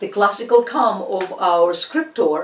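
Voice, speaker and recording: A woman's medium-pitched voice in a Russian accent at a fairly slow pace, with audible room echo and noticeable background noise. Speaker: art history lecturer. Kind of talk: lecture. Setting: online class. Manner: halting; animated.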